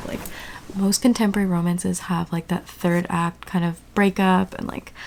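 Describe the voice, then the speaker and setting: The voice has a dark, mellow tone, moving at a fairly quick pace with fairly even intonation. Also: woman. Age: 20s. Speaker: book reviewer. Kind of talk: casual talk to camera, reading vlog.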